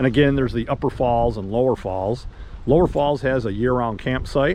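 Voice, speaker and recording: Over noticeable background noise, a man speaks fairly quickly at a medium pitch with ordinary variation. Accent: American. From Michigan, US. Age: 60s. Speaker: travel vlogger. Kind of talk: casual travel narration. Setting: outdoors and in a car. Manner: casual, with fillers and repetitions.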